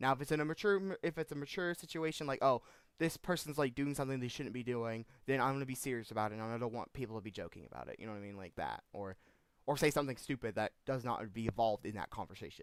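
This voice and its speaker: This man talks at a very fast pace with a medium pitch. The recording is very clean, with a silent background. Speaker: gaming streamer. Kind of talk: live game stream chat. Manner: halting, repeats words.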